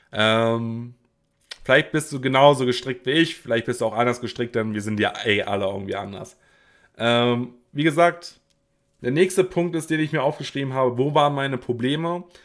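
A man talks at a moderate pace in an ordinary speaking voice, medium in pitch, with ordinary pitch variation. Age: 20s. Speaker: podcaster. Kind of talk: solo podcast monologue. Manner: casual with frequent fillers.

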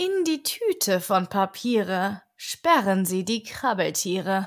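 On a very clean recording with a silent background, a woman speaks very slowly in a soothing, calm tone at a medium pitch, with lively intonation. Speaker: audiobook narrator. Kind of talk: bedtime story reading of a rhymed tale, read aloud as an audiobook. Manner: slow, soft, soothing, calm, lulling cadence.

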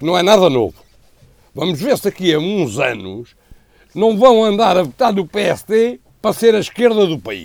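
Here a man speaks with a European Portuguese accent at a moderate pace. His voice is high for a man, with lively intonation. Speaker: political commentator. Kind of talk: panel discussion.

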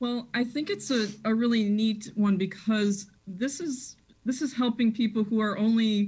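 A woman speaks with an American accent at a fairly high pitch. Her voice is somewhat breathy at a moderate pace. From Chicago area (Des Plaines). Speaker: school principal. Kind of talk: radio interview.

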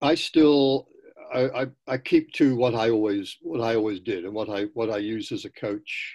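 A British accent at a fairly slow pace, in a very clean recording with a silent background. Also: man. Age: 80s. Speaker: professor and running writer. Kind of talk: interview.

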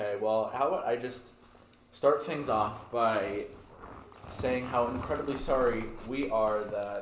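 Noticeable background noise sits behind a man speaking at a fairly slow pace and a medium pitch. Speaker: podcast co-host and editor. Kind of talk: casual chat.

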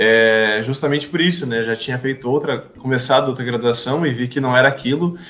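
A man talks in an ordinary speaking voice at a medium pitch and a fairly quick pace. His intonation is fairly even, with hardly any pauses. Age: 20s. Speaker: podcast host, administration student. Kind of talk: casual chat.

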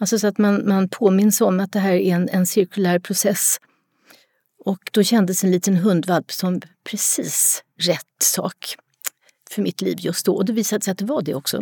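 At a moderate pace, a woman speaks with a somewhat breathy voice, medium pitch and fairly even intonation. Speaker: retired psychology professor, dog expert. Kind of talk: casual interview.

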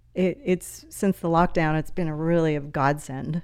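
A woman with an ordinary speaking voice, fairly low in pitch, with ordinary pitch variation at a fairly slow pace. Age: 60s. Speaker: podcast guest, mother of triplets. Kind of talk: casual chat.

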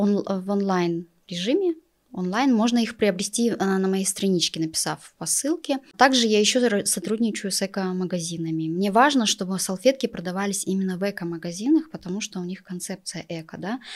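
This woman has an ordinary speaking voice at medium pitch. She keeps a moderate pace with ordinary pitch variation. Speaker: entrepreneur and office employee. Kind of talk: interview. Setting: studio.

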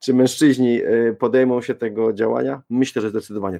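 Dark, mellow tone from a man at medium pitch, with vocal fry, ordinary pitch variation, a moderate pace and a dry, close sound with no echo. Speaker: parenting blogger and podcaster. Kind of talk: panel debate.

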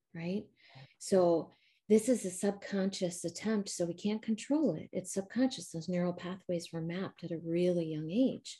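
With an American accent, a woman speaks at a moderate pace and medium pitch with ordinary pitch variation. Her voice has a dark, mellow tone and is somewhat breathy. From US Midwest. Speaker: trauma recovery coach. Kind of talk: interview. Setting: video call, camera off.

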